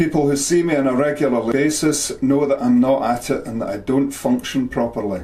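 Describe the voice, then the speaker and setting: Noticeable background noise sits behind this clip. A man speaks at a moderate pace with a fairly high pitch. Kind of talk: personal story narration.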